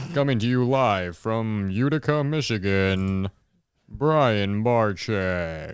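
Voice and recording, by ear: Putting on a character voice, a man speaks very slowly at a fairly low pitch with lively intonation.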